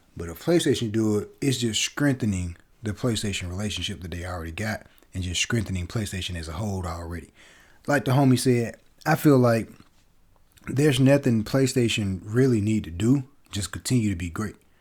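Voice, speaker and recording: A man speaks fairly quickly in a fairly low, somewhat breathy voice with lively intonation and big swings in loudness. The recording is very clean and the background silent. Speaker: gaming podcaster. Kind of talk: casual solo podcast commentary.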